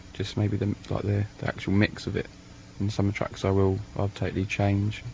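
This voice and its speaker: Noticeable background noise fills this clip. Over it, a man talks. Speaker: electronic musician. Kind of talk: interview answer. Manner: casual, laid-back.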